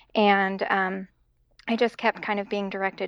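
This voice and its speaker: A woman speaks with an American accent. The sound is dry and close with no echo, over a quiet background. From Idaho, US. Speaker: music therapist. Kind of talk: interview.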